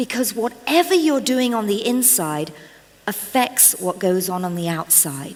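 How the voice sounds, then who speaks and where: Her pitch swings very widely. The woman speaks at a very slow pace. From England. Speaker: motivational speaker and trainer. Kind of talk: inspirational talk. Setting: stage with audience. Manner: animated.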